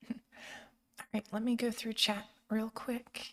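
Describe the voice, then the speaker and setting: A woman's high voice at a very slow pace, flat and monotone throughout. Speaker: streamer. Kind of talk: casual chat.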